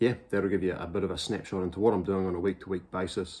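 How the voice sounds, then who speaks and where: Quietly and at a fairly quick pace, a man with a very deep, low pitch speaks in a New Zealand accent. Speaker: amateur triathlete vlogger. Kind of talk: casual vlog. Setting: at home, morning. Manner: speaking quietly; hesitant fillers. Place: home room. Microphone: webcam.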